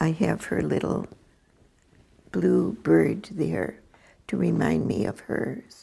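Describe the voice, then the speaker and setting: Someone with an American accent speaks at a very slow pace, with long, frequent pauses. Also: woman. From US Midwest, Wisconsin. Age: 80s+. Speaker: retired volunteer, widow. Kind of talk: personal testimony.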